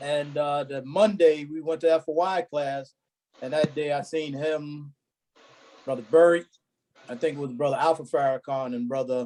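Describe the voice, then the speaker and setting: With a New York accent, a man speaks at a fairly high pitch in a dark, mellow tone, his intonation fairly even and his pauses long and frequent. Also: moderate pace. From Brooklyn, New York. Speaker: former member of a religious security group. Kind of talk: casual reminiscing among old friends.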